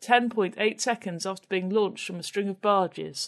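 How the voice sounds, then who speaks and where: A woman with an English accent speaks at a medium pitch with fairly even intonation. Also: quiet background. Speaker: podcast co-host. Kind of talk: casual chat.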